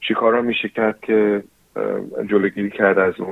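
Monotone, flat intonation at a moderate pace, in an English accent. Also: man. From New Zealand. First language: English (speaking Persian). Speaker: dentist. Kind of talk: interview. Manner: halting.

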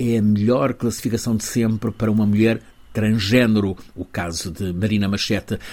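Spoken at a moderate pace, a plain, everyday voice keeps fairly even intonation. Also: man, fairly low pitch for a man. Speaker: correspondent. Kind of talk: news report.

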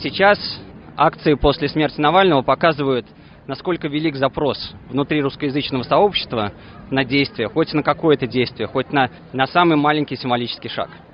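In an unremarkable speaking voice, a man's fairly high pitch carries ordinary pitch variation as he talks at a moderate pace. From Russia. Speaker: protest organiser. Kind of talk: speech at rally. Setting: outdoors.

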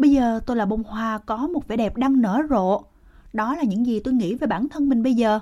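A woman speaks in a normal speaking voice at a fairly high pitch. Her pace is fairly quick and her intonation lively. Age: 60s. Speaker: formerly homeless senior. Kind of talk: casual chat. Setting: outdoors.

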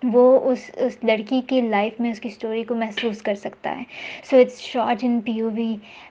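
Against noticeable background noise, a woman speaks at a fairly high pitch with monotone, flat intonation. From Pakistan. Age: young. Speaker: film student. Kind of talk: interview.

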